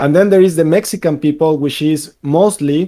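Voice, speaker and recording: Fairly high in pitch, this man's voice has a dark, mellow tone. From Venezuela. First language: Spanish. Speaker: game developer. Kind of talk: casual chat.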